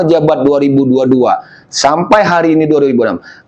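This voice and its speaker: Here a man talks with a Lampung accent. His pitch sits fairly high. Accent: Lampung Indonesian accent, somewhat harsh. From Lampung, Indonesia. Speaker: village head. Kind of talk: documentary interview. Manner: forceful, emphatic.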